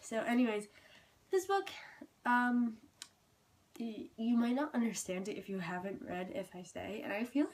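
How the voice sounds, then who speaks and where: Somewhat breathy speech at a fairly slow pace, with very wide pitch swings. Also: woman. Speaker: booktuber. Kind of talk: book review vlog. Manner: casual, halting with fillers.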